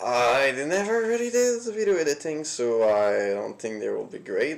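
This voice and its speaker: Fairly slow speech in a non-native accent, with noticeable background noise. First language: not English. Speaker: solo indie game developer streaming. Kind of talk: casual livestream commentary. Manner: halting, many fillers.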